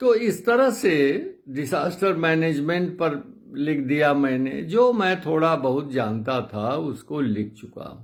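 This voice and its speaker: There is audible room echo around a man with a fairly high pitch. He barely pauses, and his pitch swings very widely. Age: 80s+. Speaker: retired geography professor and author. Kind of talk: casual talk to viewers.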